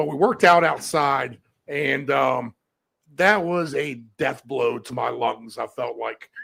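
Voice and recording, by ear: Using a put-on character voice, a man speaks raspy and hoarse at a fairly high pitch and a fairly slow pace.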